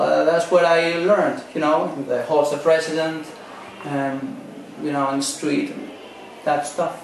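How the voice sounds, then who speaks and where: Spoken in a Spanish accent at a fairly slow pace. The clip has audible room echo and noticeable background noise. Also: man, fairly high pitch for a man, ordinary pitch variation. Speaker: maths teacher. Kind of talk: interview. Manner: halting, many fillers.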